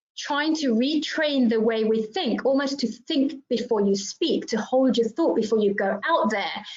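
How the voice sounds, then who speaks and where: A woman with a British accent speaks at a fairly slow pace and high pitch, with hardly any pauses and very even loudness. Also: lively intonation. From England (grew up in UK, Indian Assamese heritage). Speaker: diversity trainer, panelist. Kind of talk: panel discussion.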